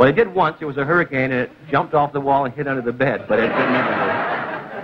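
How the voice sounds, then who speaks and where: A man talking at a very fast pace with ordinary pitch variation over loud background noise. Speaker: TV show host. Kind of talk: stand-up monologue on a TV talk show, with a studio audience. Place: studio.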